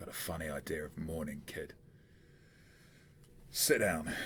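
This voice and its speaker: A put-on character voice, wheezy and raspy, moves at a moderate pace with a monotone, flat intonation. Clear background noise sits behind it. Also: man, very deep, low pitch for a man. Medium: actual play. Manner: gruff, blunt.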